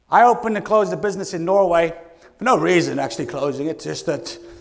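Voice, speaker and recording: Very fast, animated male speech with very wide pitch swings and noticeable background noise. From Scotland. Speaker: keynote speaker. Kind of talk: motivational keynote talk. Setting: stage with audience.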